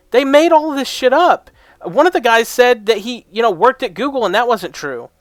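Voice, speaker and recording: A shouting man at an extremely high pitch, loud and animated, with very wide pitch swings, a moderate pace, and a dry, close sound with no echo. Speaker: reaction video creator. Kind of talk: reaction commentary. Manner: loud, yelling.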